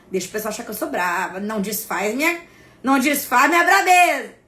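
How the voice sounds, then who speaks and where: A woman speaks in an animated, stern tone at a moderate pace. Noticeable background noise and audible room echo come through. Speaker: spiritual content creator. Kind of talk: live stream talk to followers. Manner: forceful, stern-sounding.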